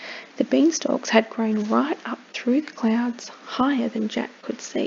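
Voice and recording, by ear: Someone reads aloud. The delivery stays natural.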